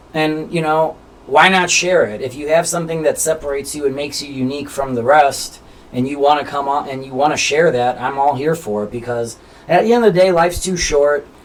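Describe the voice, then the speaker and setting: Noticeable background noise sits under a man with an American accent. He talks at a fairly quick pace in a fairly high pitch, with ordinary pitch variation. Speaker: interview show host. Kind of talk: casual chat. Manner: halting.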